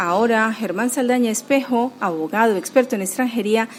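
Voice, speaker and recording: Lively intonation from a woman with a fairly high pitch, amid noticeable background noise. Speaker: radio host and coordinator. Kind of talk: radio show presenting.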